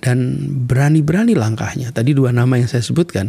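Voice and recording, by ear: A man talks at a fairly quick pace and medium pitch, with ordinary pitch variation. His tone is dark and mellow, with vocal fry and a slightly husky edge.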